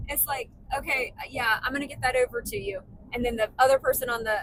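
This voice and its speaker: Loud speech at a fairly quick pace with ordinary pitch variation. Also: woman. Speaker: podcast co-host. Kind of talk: casual chat.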